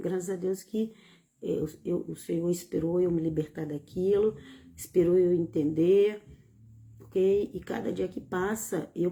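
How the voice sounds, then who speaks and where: This woman's tone is dark and mellow. She keeps to a fairly slow pace. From Bahia, Brazil (rural), moved to São Paulo at 15. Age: 60s. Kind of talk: religious teaching livestream. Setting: live stream. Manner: informal, repetitive with hesitations.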